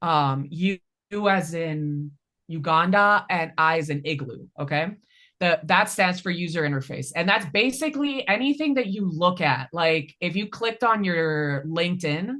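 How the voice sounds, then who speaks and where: A woman speaks at a moderate pace in an unremarkable speaking voice. Her pitch is fairly low, and her intonation is lively. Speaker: data analytics trainer. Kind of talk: hands-on tutorial.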